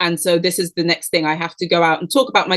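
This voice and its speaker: A woman is speaking. Her pitch sits fairly low. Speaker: PR agency founder and CEO. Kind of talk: podcast interview. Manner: fast.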